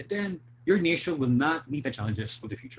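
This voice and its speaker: The man sounds somewhat breathy, and his intonation is lively. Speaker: drama teacher giving a presentation. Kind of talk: online presentation.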